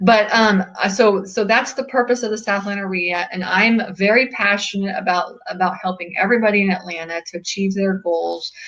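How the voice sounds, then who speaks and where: With noticeable background noise, a woman talks at a fairly quick pace and medium pitch, with fairly even intonation and hardly any pauses. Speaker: real estate investing club organizer. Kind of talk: webinar presentation. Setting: webinar video call. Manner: fast.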